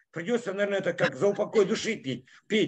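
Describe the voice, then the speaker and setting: This man's voice sits at a high pitch. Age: 50s. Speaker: network marketing leader; presenter. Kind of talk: sales pitch. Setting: in a car. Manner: animated. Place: home room. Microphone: video call.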